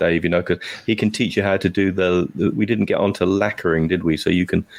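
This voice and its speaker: Here a man speaks with a British accent. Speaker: podcast co-host. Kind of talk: casual chat.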